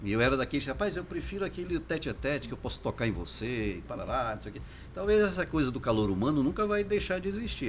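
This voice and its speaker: A man speaks at a very fast pace with very wide pitch swings, and there is noticeable background noise. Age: 60s. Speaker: foundation director. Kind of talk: casual interview.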